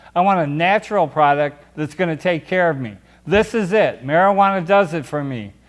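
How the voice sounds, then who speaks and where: A man talks with lively intonation. His pitch sits high. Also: moderate pace. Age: 60s. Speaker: cannabis activist and show co-host. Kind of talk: impassioned advocacy monologue. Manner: animated, emphatic.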